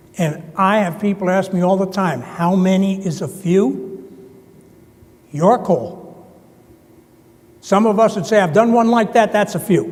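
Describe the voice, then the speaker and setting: A man with an American accent speaks at a fairly slow pace in a high voice, with ordinary pitch variation, long and frequent pauses, and audible room echo. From US Northeast, New Jersey. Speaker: conference presenter. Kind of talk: conference presentation.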